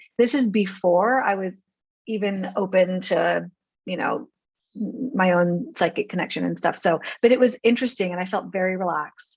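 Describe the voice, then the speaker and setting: Vocal fry runs through speech at a moderate pace with ordinary pitch variation. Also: woman, medium pitch for a woman. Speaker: podcast host. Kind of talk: podcast interview questions.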